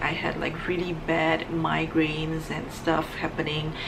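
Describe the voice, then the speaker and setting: Soft-spoken at a moderate pace, a woman talks over noticeable background noise with audible room echo. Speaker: beauty vlogger. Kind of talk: casual vlog monologue.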